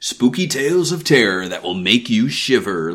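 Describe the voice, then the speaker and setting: Using a put-on character voice, a man speaks at a moderate pace in a medium pitch with very wide pitch swings over light background noise. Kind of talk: trailer announcer. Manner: dramatic, ominous, theatrical.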